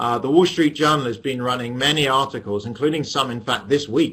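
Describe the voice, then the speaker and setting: A man with an English accent, medium pitch, ordinary pitch variation and a bright, sharp tone. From England. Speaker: economics professor. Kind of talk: lecture. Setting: webinar via webcam.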